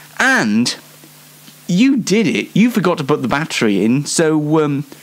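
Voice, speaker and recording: Fairly high in pitch with very wide pitch swings, a man with a Yorkshire accent talks at a fairly slow pace and a very even loudness. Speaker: online show host. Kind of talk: casual solo show monologue. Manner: halting, many fillers.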